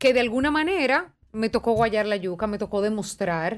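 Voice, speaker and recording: A woman speaks fairly slowly with a normal speaking voice, fairly high in pitch and with lively intonation. The recording is very clean, with a silent background. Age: 30s. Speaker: TV presenter. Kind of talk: casual chat.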